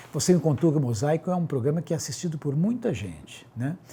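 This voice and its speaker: The voice is somewhat breathy with a dark, mellow tone. It moves at a very fast pace. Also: man. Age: 60s. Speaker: doctor. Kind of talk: interview.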